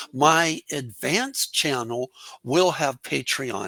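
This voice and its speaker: This man's voice is fairly high-pitched and bright and sharp in tone, with ordinary pitch variation and a dry, close sound with no echo. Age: 60s. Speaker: English teacher. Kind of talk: interview.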